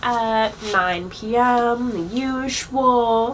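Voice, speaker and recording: Noticeable background noise behind a woman's speech. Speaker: drag show host. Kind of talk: live stream show announcements. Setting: online livestream. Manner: casual, stumbling over words.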